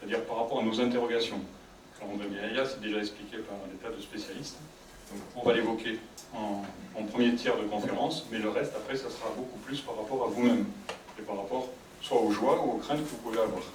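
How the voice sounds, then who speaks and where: A soft-spoken man at a medium pitch, fairly quick yet with long, frequent pauses, fairly even in intonation, with audible room echo and noticeable background noise. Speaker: psychologist giving a conference. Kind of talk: public talk to audience. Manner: sometimes very fast.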